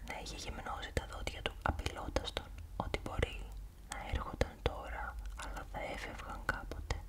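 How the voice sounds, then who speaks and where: The speech is whispered at a moderate pace. Background noise is noticeable throughout. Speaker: ASMR creator. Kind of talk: ASMR horror novel reading.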